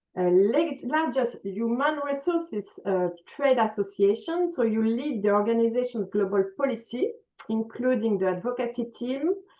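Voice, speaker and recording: A woman with a French accent speaks at a moderate pace and fairly high pitch, with lively intonation and very even loudness. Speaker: conference moderator. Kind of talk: panel moderation. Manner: halting, many fillers.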